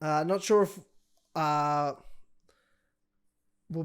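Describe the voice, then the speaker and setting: A man with an Australian accent, fairly high in pitch, at a moderate pace, on a very clean recording with a silent background. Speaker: MMA podcast co-host. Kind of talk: casual chat.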